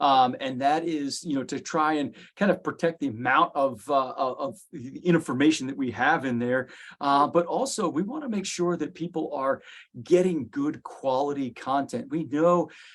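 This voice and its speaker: Speaking at a moderate pace with ordinary pitch variation, a man has an unremarkable speaking voice and a fairly high pitch. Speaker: executive director of a professional association. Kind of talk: interview.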